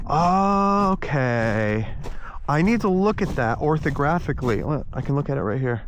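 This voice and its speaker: A man speaks with very wide pitch swings and very even loudness. Long, frequent pauses break up his speech amid audible room echo. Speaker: RC model aircraft builder. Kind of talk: casual vlog commentary. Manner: halting, many fillers; mumbling.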